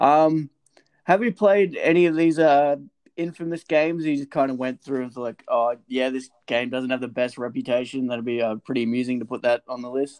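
With an Australian accent, a man speaks with ordinary pitch variation in a dry, close sound with no echo. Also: medium pitch for a man, moderate pace. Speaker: podcast host, bar worker. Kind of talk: casual chat.

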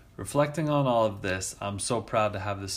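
A man with an ordinary speaking voice speaks at a moderate pace with ordinary pitch variation. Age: 30s. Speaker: podcast host, writer. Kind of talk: reading aloud of own essay.

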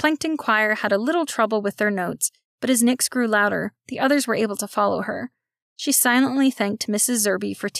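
Someone is reading aloud in a natural voice with ordinary pitch variation, over a quiet background.

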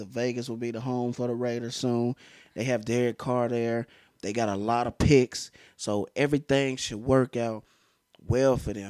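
A man's medium-pitched, monotone voice at a moderate pace, with a dry, close sound and no echo. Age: 20s. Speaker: podcast host and aspiring DJ. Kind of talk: casual chat.

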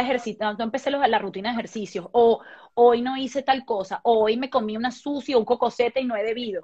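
Over a quiet background, a woman speaks in a normal speaking voice at a fairly quick pace. Her pitch is fairly high and her intonation fairly even. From Venezuela. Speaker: actress and dancer. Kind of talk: casual interview on a live stream. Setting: video call live stream.

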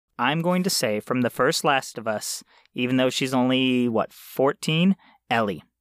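A man with an unremarkable speaking voice talks at medium pitch and moderate pace with lively intonation, in a dry, close sound with no echo on a very clean recording with a silent background. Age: 30s. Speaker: video game podcast co-host. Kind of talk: casual comedic chat.

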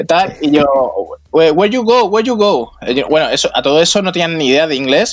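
The man's voice swings very widely in pitch. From Mallorca, Spain. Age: 20s. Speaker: bicycle traveler. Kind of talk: casual chat. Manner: halting.

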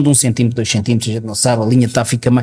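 This is a man's voice. His tone is dark and mellow. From Portugal. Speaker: podcast co-host. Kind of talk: casual chat.

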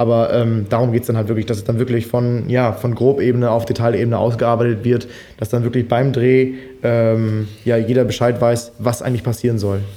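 A man of medium pitch talks fairly quickly in a flat monotone, keeping his loudness very even. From Germany, Münsterland. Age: 20s. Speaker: freelance filmmaker. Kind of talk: casual chat.

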